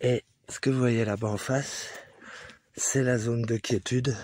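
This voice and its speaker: A soft-spoken, somewhat breathy man's voice at medium pitch, very slow, with a dry, close sound and no echo. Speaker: hiking vlogger. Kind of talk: vlog narration while hiking. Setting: outdoors on a mountain hike. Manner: casual.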